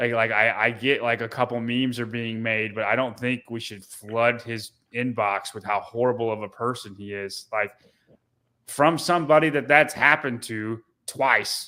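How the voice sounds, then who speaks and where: Loud and bright with a sharp tone, a man speaks at a medium pitch in a fairly even intonation on a very clean recording with a silent background. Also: moderate pace. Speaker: podcast co-host. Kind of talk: casual chat. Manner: halting.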